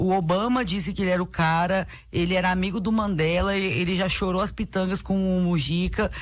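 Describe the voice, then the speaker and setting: A woman's somewhat breathy, medium-pitched voice at a moderate pace. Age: 30s. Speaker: city councillor, politician. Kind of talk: radio interview.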